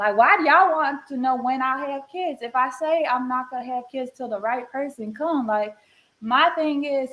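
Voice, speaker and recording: The speaker has a Southern US accent. The pace is moderate, with ordinary pitch variation. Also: woman, high pitch for a woman. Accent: Southern US accent, noticeable. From North Carolina, Charlotte. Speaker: podcast guest asking a question. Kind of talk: casual chat.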